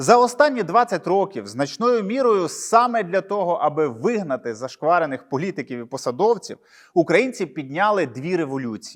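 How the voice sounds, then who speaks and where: Very wide pitch swings at a moderate pace over a quiet background. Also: man, high pitch for a man. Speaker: journalist video blogger. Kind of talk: solo commentary monologue. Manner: sarcastic.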